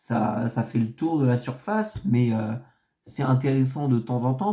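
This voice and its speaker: Dark and mellow in tone, this man's voice sits at a medium pitch and is somewhat breathy. He speaks at a fairly slow pace with lively intonation. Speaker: football commentator youtuber. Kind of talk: casual video analysis monologue. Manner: halting, many hesitations.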